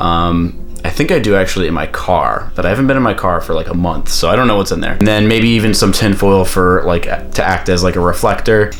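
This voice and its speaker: A man's very fast, animated delivery with lively intonation, audible room echo and noticeable background noise. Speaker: photographer and YouTuber. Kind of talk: tutorial. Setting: at home. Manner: casual, animated.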